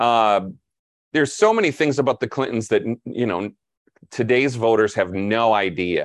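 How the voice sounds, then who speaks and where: Recorded with a dry, close sound and no echo, a man with an ordinary speaking voice talks at a moderate pace and medium pitch, with ordinary pitch variation. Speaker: media analyst and editor. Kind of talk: casual chat.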